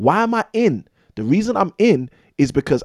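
Recorded dry and close with no echo, a man with a London accent speaks with very wide pitch swings. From London, England. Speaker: real estate investor and former maths teacher. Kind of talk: casual interview.

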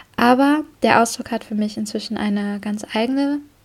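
Her voice is somewhat breathy and fairly high for a woman, with fairly even intonation and a moderate pace. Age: 20s. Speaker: podcast host, marketing worker. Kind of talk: casual solo monologue.

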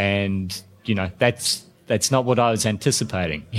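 With a New Zealand accent, a man speaks at a fairly slow pace and fairly low pitch with ordinary pitch variation, in a very clean recording with a silent background. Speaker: intensive care doctor. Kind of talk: podcast interview. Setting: conference. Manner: halting.

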